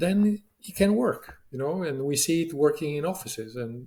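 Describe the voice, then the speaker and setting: Dark and mellow, the voice has a somewhat breathy quality. Breath comes through somewhat as it speaks. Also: man. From Latin America. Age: 60s. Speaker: business leader. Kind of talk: interview. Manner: halting, many fillers.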